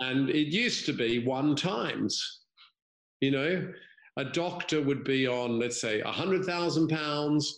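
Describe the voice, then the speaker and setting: Audible room echo colors a man's voice, which has ordinary pitch variation. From Australia, grew up moving abroad. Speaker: former banker, environmental non-profit founder. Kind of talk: casual chat.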